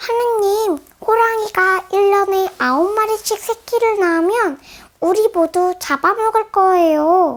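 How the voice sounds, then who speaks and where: The woman puts on a character voice, pitched extremely high and delivered at a fairly slow pace. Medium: read story.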